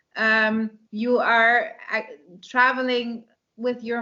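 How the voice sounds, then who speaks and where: Pitched fairly high, a woman with a Dutch accent speaks in a monotone, flat intonation. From Netherlands. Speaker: romance author and English teacher. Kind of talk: interview. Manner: halting, many fillers.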